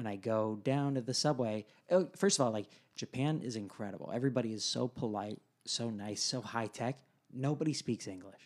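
Speaking at a fairly quick pace, a man with an American accent has a plain, everyday voice, a medium pitch and ordinary pitch variation. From San Diego, California. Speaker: guest, married to a co-guest. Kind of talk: casual conversational interview.

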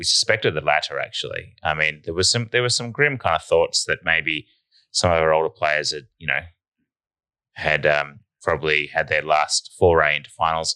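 A man speaks in an Australian accent. The sound is dry and close with no echo, on a very clean recording with a silent background. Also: moderate pace. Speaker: football podcast host. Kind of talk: casual banter, sports podcast. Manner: animated, jokey.

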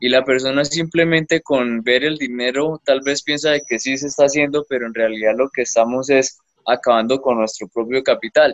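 An ordinary speaking voice from a man at medium pitch, moderate pace, fairly even intonation and hardly any pauses. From Colombia, Bucaramanga (Santander). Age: 20s. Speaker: young entrepreneur, panela producer. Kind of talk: interview. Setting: remote call from an isolated rural area.

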